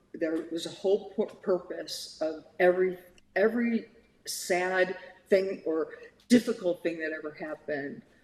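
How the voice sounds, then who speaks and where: A woman with an American accent, at a fairly slow pace and with ordinary pitch variation. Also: medium pitch for a woman. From US Midwest (Ohio). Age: 60s. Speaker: therapist. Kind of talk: interview. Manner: animated.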